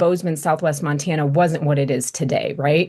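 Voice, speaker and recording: A woman speaks with an American accent in a normal speaking voice. Her pitch sits fairly low and varies in an ordinary way. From Chicago and California, US. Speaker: PR agency founder. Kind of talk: interview.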